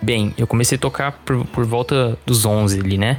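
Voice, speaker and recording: Music plays behind a man speaking. He has a Brazilian accent and a medium-pitched voice. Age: 20s. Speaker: heavy metal guitarist and music teacher. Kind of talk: casual interview.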